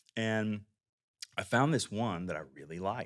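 A man with a Texan accent talks at a fairly quick pace in a fairly low pitch. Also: very clean recording, silent background. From Texas. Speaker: biotech CEO and physician. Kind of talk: interview.

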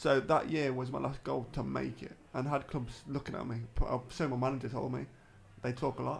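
This man talks at a fairly quick pace in a flat, monotone voice with vocal fry. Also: medium pitch for a man. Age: 30s. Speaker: former footballer with MS. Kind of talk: casual interview.

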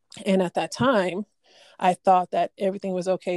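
A woman speaks in a plain, everyday voice at medium pitch and a moderate pace with fairly even intonation. The sound is dry and close with no echo. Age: 30s. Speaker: guest sharing religious testimony. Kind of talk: testimony.

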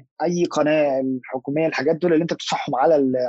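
With an ordinary speaking voice, a man talks at a fairly high pitch and lets it vary in an ordinary way. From Egypt. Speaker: podcast guest, Egyptian expat. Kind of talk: casual chat.

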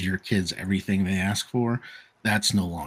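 A man with a very deep, low voice speaks at a moderate pace with fairly even intonation. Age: 40s. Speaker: podcast guest. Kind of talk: casual conversation. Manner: halting with repetitions.

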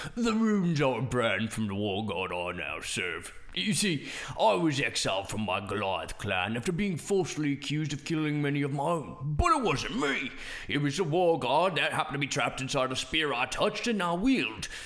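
A man talks at a moderate pace with a fairly high pitch. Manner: wry, gruff, sardonic.

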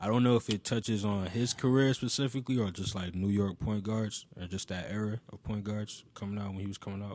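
A man's plain, everyday voice, fairly low in pitch and fairly quick, with fairly even intonation, hardly any pauses and a quiet background. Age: 20s. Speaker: music industry intern and brand co-founder. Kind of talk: casual chat. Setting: studio.

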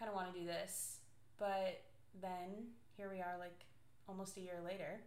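A woman talks at a moderate pace and medium pitch, her intonation flat and monotone, with long, frequent pauses over noticeable background noise. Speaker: podcast co-host. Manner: loud, naturally projecting voice.

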